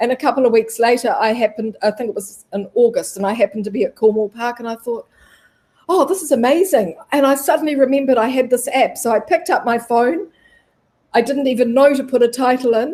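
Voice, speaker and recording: A woman with a high pitch and a dark, mellow tone races along at a very fast pace with lively intonation. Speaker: travel live streamer. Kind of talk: interview. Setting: live stream.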